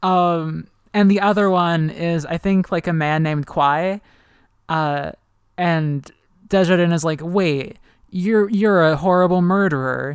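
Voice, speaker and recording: A woman has an unremarkable speaking voice, fairly low-pitched with fairly even intonation. The recording is very clean, with a silent background. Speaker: podcast host. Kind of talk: casual chat.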